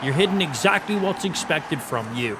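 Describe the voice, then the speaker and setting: Talking at a very fast pace in an Irish accent, this speaker sounds animated, with very wide pitch swings and noticeable background noise. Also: man. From Ireland. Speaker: gaming streamer. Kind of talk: live gaming stream commentary with chat.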